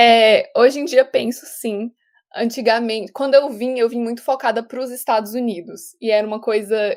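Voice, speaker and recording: A woman with a plain, everyday voice speaks at a moderate pace, her fairly high pitch following fairly even intonation. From Brazil. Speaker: actress. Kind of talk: casual interview.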